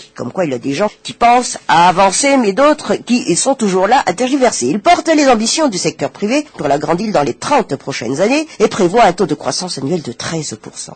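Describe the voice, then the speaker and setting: A man's high voice at a moderate pace, with hardly any pauses, very wide pitch swings, and a dry, close sound with no echo. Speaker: radio press review host. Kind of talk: press review reading with commentary. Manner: hesitant with fillers.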